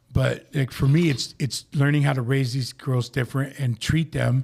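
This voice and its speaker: Speaking at a moderate pace, a man has a medium pitch and a dark, mellow tone. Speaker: recovering addict sharing his story. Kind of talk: casual chat. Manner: loud; animated.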